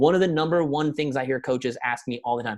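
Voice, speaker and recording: The speech goes at a very fast pace. The sound is dry and close with no echo. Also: man. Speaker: network marketing coach. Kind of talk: motivational talk. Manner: animated.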